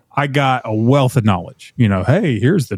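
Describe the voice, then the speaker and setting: Man at medium pitch and fairly quick pace, on a very clean recording with a silent background. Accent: Tennessee. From Middle Tennessee, US South. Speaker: gunsmithing teacher and former TV host. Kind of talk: casual interview chat.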